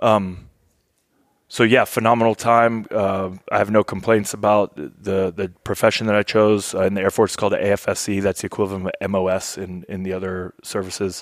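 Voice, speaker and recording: A man with an American accent speaks at a fairly quick pace. His fairly low voice stays monotone and flat. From Kentucky, US (military family). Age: 40s. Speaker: Air Force veteran. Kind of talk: casual chat. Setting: hunting camp.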